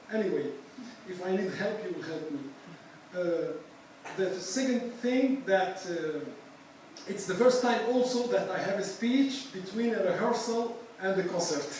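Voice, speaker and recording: In a room with audible echo and noticeable background noise, a man with a high voice speaks at a moderate pace, his pitch varying in the ordinary way, with long, frequent pauses. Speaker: musician and architect. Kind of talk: lecture. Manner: halting.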